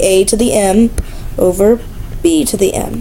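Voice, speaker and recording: A woman's fairly high voice amid audible room echo and noticeable background noise. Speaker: math teacher. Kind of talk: lecture. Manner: fast; casual, with fillers.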